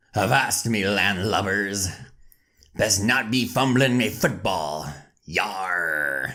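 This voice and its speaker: In a put-on character voice, a man drawls fairly low at a very slow pace. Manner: playful.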